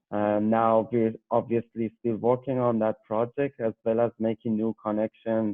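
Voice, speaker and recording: A fairly slow man's voice with a Persian accent. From Iran, Tehran. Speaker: PhD graduate researcher. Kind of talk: interview. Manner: hesitant, with fillers.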